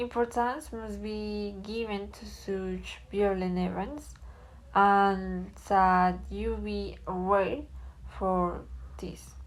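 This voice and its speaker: A woman speaks at a very slow pace with big swings in loudness. Audible room echo fills the recording. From Colombia. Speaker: student. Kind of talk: class presentation reading answers.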